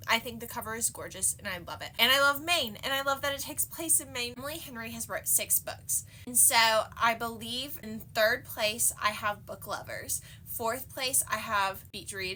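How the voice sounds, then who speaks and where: Speaking at a moderate pace with an American accent, a woman shows big swings in loudness. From United States. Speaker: book reviewer. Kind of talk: casual book review monologue. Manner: animated.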